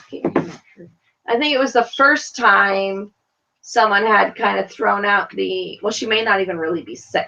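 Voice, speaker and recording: In an American accent, a woman speaks at medium pitch and a fairly slow pace. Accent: New York accent, strong today. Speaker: reality TV podcast host. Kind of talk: casual chat. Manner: animated.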